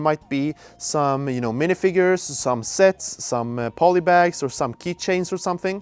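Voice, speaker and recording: The voice has a Swedish accent and a dry, close sound with no echo. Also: man. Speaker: store employee. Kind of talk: store tour vlog. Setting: outdoors then inside store. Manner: casual, somewhat halting with fillers.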